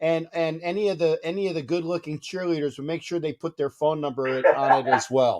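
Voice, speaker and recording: A man's unremarkable speaking voice, fairly high in pitch, with ordinary pitch variation, a fairly quick pace and a dry, close sound with no echo. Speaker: sports talk show host. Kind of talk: call-in sports talk show.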